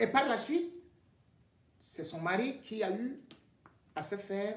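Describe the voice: A man's high-pitched, fairly bright voice at a fairly slow pace, full of big pitch swings.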